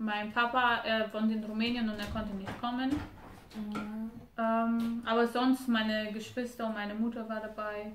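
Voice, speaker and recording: With a Romanian accent, a woman speaks at a fairly slow pace and a fairly high pitch, in a monotone, flat intonation. There is audible room echo and noticeable background noise. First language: Romanian (speaking German). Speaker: wife of a guest couple. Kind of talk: casual interview.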